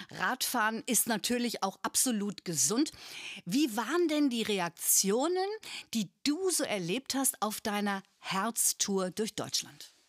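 Very slow, lively intonation from a fairly high-pitched woman, very even loudness, dry, close sound with no echo. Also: very clean recording, silent background. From northern Germany (Bremen). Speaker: podcast host. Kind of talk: interview.

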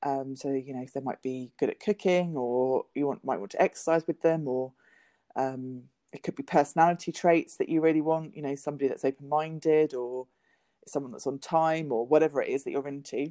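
Very deep and low for a woman, her voice has a dark, mellow tone and fairly even intonation at a fairly quick pace, with a dry, close sound, no echo and a quiet background. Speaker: podcast co-host. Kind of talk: casual chat. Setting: in a car.

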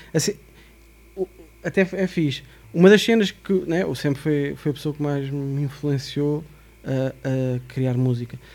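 This man's voice sits fairly high in pitch, with ordinary pitch variation and a fairly slow pace. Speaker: hip-hop producer. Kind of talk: casual chat.

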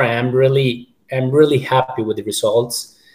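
At a fairly slow pace, a man speaks at a medium pitch, sounding somewhat breathy. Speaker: limb lengthening patient. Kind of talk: casual panel discussion. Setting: video call.

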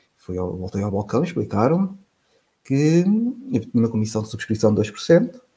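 A man with a somewhat breathy, dark, mellow tone at medium pitch speaks at a moderate pace with long, frequent pauses, very wide pitch swings and big swings in loudness. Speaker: financial journalist. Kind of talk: casual interview conversation.

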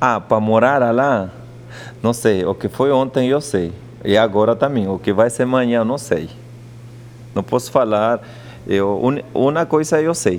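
Long, frequent pauses break up a man's speech at a fairly slow pace. His pitch is medium with ordinary variation, over noticeable background noise. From Peruvian Andes. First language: Quechua and Spanish (speaking Portuguese). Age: 40s. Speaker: chef and restaurant owner. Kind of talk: interview.

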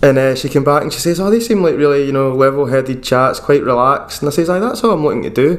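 In a Lanarkshire accent, a man with a fairly high pitch speaks at a very fast pace with ordinary pitch variation. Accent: Scottish (Lanarkshire). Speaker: podcast host and bass player. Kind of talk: casual chat. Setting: video call.

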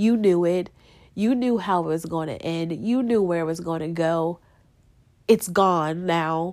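On a very clean recording with a silent background, a woman with a fairly low pitch speaks fairly slowly in an unremarkable speaking voice, her pitch varying in an ordinary way. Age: 20s. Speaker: podcast host. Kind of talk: personal monologue.

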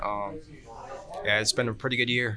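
A man with an American accent talks as noticeable background noise carries on. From Georgia, US South. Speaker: kart racer and pipe welder. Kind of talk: casual chat. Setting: live show at a race event with audience.

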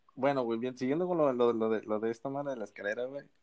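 Recorded dry and close with no echo, a man speaks at a medium pitch with ordinary pitch variation. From Mexico, Sinaloa (Costa Rica town). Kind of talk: casual chat.

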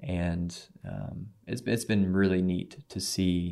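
With a Midwestern American accent, a man speaks at a very slow pace in a very deep, low pitch, his tone dark and mellow and his pitch variation ordinary. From US Midwest, Missouri (Cape Girardeau). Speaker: missionary, former prison minister. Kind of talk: testimony. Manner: halting, many fillers.

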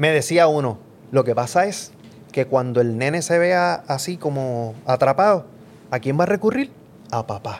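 Lively intonation marks this man's fairly high voice. He keeps a moderate pace with long, frequent pauses. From Puerto Rico, Mayagüez. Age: middle-aged. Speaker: professor and podcast co-host. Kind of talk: casual political chat. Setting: home studio.

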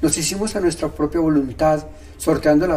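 A man talks over noticeable background noise. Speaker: podcaster. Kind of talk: scripted narration.

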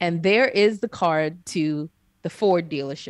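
With an American accent, a woman is recorded with a dry, close sound, no echo and a quiet background. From New York. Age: 40s. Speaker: podcast co-host. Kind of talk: casual chat.

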